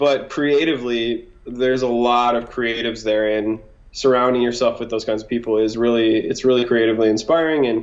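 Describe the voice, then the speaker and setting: A man with an American accent and a normal speaking voice, medium pitch, fairly even intonation and a fairly quick pace. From Wisconsin. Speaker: singer-songwriter. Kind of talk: casual chat.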